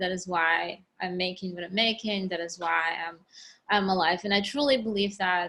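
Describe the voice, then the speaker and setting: Bright and sharp in tone, a woman's medium-pitched voice moves at a moderate pace with fairly even intonation. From Ukraine. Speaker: sculptor. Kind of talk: interview answer.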